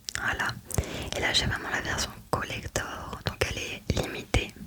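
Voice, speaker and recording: A whispering voice goes at a fairly slow pace over noticeable background noise. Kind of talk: casual ASMR talk to camera about a game collection.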